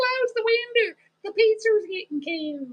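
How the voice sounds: A put-on, squeaky character voice that sounds female, pitched extremely high, drawls at a fairly slow pace with a Texas accent.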